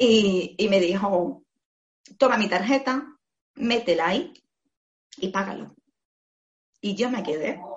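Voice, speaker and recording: A woman speaks at a very slow pace with long, frequent pauses. Her voice is somewhat breathy, and her intonation is lively. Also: medium pitch for a woman. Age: 40s. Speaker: former hairdresser turned digital marketer. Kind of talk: interview. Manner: animated.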